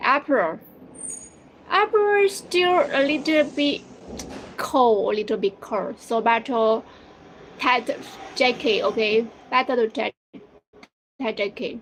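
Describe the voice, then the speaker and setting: A woman with a Chinese accent speaks at a high pitch with very wide pitch swings. Her pace is very slow, with long, frequent pauses. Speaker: live streamer for a machinery seller. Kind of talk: casual live stream chat with viewers. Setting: live stream. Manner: halting, repetitive.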